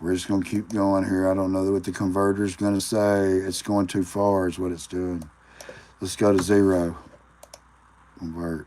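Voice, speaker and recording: A man with an American accent speaks at a moderate pace in a very deep, low, monotone voice, with long, frequent pauses and noticeable background noise. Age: 40s. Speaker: livestreamer. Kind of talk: casual live stream talk. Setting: live stream. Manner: halting, thinking aloud.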